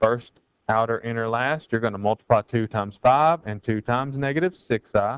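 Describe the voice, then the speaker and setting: This man has an ordinary speaking voice, set at a medium pitch and delivered at a fairly quick pace. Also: ordinary pitch variation. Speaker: math teacher. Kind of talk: tutorial. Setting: recorded video lesson.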